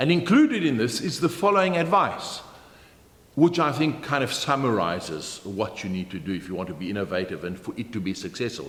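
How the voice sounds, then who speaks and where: Speaking fairly quickly with a South African accent, a man at a medium pitch lets his voice swing very widely up and down. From Germany. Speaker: motivational keynote speaker. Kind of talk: business training talk to camera.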